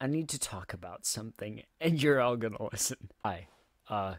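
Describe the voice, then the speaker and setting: A man's shaky voice comes through on a very clean recording with a silent background. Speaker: music cover artist and channel owner. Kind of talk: casual vlog monologue. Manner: shaky, stuttering.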